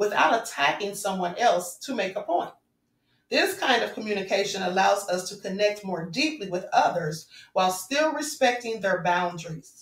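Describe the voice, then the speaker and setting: A woman with an ordinary speaking voice talks at a moderate pace, medium in pitch with lively intonation. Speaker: spiritual vlogger. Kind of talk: spiritual talk to viewers.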